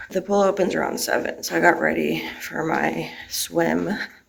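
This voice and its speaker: A woman speaks over noticeable background noise. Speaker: vlogger. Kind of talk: vlog narration. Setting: hotel.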